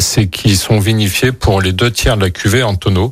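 On a very clean recording with a silent background, a man with a fairly low, somewhat breathy voice speaks fairly slowly, with ordinary pitch variation. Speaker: winemaker. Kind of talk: radio interview. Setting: studio.

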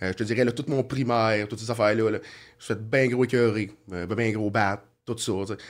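A man with a plain, everyday voice, medium pitch, fairly even intonation, big swings in loudness and a moderate pace. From Quebec, Sorel-Tracy area. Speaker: former criminal, asphalt business owner. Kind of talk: casual interview, life story.

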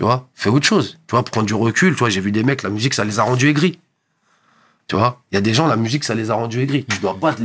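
A man is speaking here. His pitch sits in the medium range and varies in an ordinary way. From Paris suburbs, France (Montreuil, then Val-d'Oise). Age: 30s. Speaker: DJ and hip hop producer. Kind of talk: casual interview. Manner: halting, repeats words; calm, composed.

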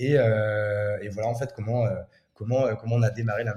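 A man with a somewhat breathy voice speaks at a medium pitch in monotone, flat intonation. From France, Champagne-Ardenne. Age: 30s. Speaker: entrepreneur. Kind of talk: interview. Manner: casual, filler-heavy.

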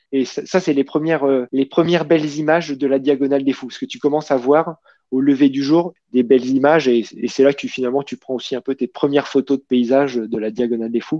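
A man's voice sits at a medium pitch, his intonation fairly even and his pace fairly quick. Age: 40s. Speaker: amateur trail runner. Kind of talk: casual interview. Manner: hesitant, with fillers and repetitions.

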